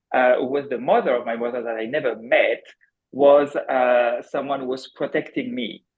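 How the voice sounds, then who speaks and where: The speaker talks with a French accent. Pitch varies in an ordinary way. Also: man. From France. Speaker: accountant turned energy healer. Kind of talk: viewer question on live show. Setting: video call. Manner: halting.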